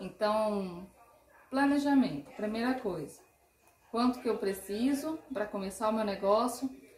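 Against noticeable background noise, a woman with a fairly high pitch and lively intonation talks at a fairly slow pace, leaving long, frequent pauses. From interior of São Paulo state, Brazil. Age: 30s. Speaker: marketing consultant. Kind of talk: podcast interview.

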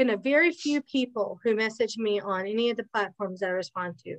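Talking at a fairly quick pace, a woman has a plain, everyday voice, fairly high in pitch with ordinary pitch variation. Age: 40s. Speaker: podcast co-host. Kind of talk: casual chat.

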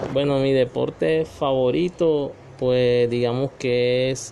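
Amid noticeable background noise, a man with a medium pitch speaks at a very slow pace, his intonation fairly even and his loudness very even. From Colombian Caribbean coast (Magangué, Bolívar). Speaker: parent being interviewed. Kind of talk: family interview. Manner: hesitant, many fillers.

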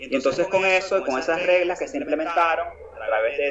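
A man keeps a moderate pace, with noticeable background noise behind his voice. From Nicaragua. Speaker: war veteran and activist. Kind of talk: interview.

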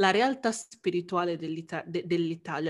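This is a normal speaking voice, moving at a moderate pace with ordinary pitch variation. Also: woman. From Italy. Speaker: anthropologist. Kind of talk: casual chat.

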